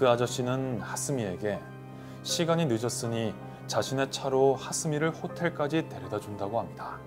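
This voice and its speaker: A man talks at a medium speed. Music can be heard behind him. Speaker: radio host and voice actor. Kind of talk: quiet late-night radio horror storytelling. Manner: quiet, soft-spoken.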